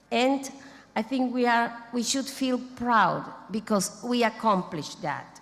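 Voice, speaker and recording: With a non-native accent, a woman with a fairly high pitch talks at a fairly slow pace using ordinary pitch variation. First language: not English. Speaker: international society president. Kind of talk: ceremony speech. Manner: halting.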